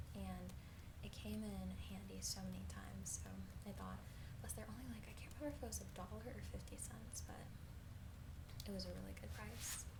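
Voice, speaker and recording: Soft-spoken and very deep, low in pitch, a woman talks at a moderate pace with ordinary pitch variation amid noticeable background noise. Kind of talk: ASMR haul video talking to viewers.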